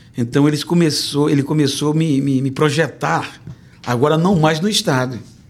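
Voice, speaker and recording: Fairly high male voice with audible room echo. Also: ordinary pitch variation, moderate pace, very even loudness. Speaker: pastor and preacher. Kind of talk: testimony interview. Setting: church.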